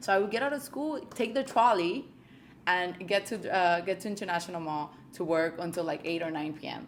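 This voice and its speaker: A woman's normal speaking voice at medium pitch, fairly quick, with lively intonation. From Colombia, moved to US at 8. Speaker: realtor. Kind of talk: interview.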